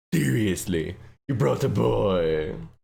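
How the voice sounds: A man puts on a raspy character voice with a very deep, low pitch. His tone is menacing.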